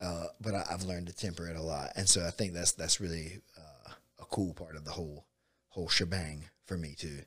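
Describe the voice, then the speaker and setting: A man with a Southern US accent speaks at a fairly quick pace, his very deep, low voice held to a monotone. His loudness swings widely. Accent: Southern US (Georgia). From US South, south Georgia (Bainbridge). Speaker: jiu-jitsu coach and gym owner. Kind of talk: casual chat. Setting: studio.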